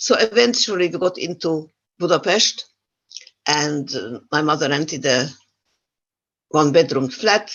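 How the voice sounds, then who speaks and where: A woman with a non-native accent, a very deep, low pitch, lively intonation, a fairly slow pace and long, frequent pauses. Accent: foreign accent in English. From Yugoslavia. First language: not English. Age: 80s+. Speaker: Holocaust survivor speaker. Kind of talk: testimony. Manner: halting.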